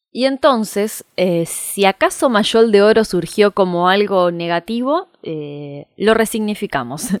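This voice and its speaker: A woman at a medium pitch speaks at a very slow pace with lively intonation and hardly any pauses. The sound is dry and close with no echo, on a very clean recording with a silent background. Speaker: podcast host. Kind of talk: scripted narration.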